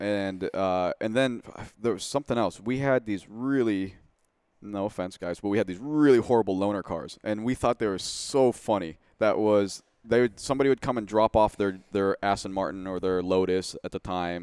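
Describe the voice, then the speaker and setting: A man with a plain, everyday voice, fairly low in pitch with ordinary pitch variation, at a moderate pace, in a dry, close sound with no echo on a very clean recording with a silent background. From US Pacific Northwest. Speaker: Porsche tuner and race car builder. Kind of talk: casual interview. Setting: studio.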